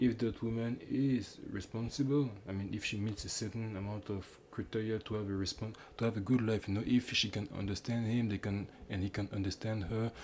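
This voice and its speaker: A man with a Quebec accent, fairly low in pitch, fairly quick in pace and fairly even in intonation. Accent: French Canadian accent in English. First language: French. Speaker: YouTuber commentator. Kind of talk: casual commentary monologue. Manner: halting, many false starts and fillers.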